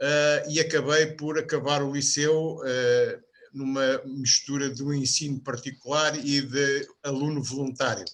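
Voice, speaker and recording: A man's fairly high voice, flat and monotone, at a fairly slow pace. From Portugal, Lisbon (Benfica). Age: 70s. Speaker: podcast panelist. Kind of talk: biographical interview.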